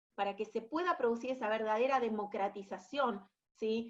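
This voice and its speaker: A woman speaks at a fairly high pitch in an Argentine accent. Her pace is moderate and her pitch varies in an ordinary way. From Argentina. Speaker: education specialist at international organization. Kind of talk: webinar presentation. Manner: hesitant, many fillers and repetitions.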